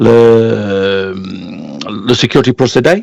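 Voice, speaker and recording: A man with ordinary pitch variation, in a dry, close sound with no echo over a quiet background. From northern England, Barton upon Humber, Lincolnshire. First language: English (speaking French). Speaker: health and safety expert. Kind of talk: interview. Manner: halting, many hesitations.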